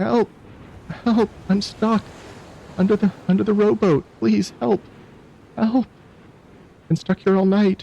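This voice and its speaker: A man's put-on character voice, high-pitched and strained, at a fairly slow pace with long, frequent pauses, very even loudness and ordinary pitch variation. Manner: shouting for help.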